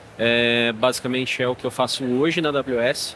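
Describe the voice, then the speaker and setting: A man in a São Paulo accent with fairly even intonation, amid noticeable background noise. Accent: São Paulo (paulista). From São Paulo, Brazil. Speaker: AI solutions architect. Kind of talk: panel discussion.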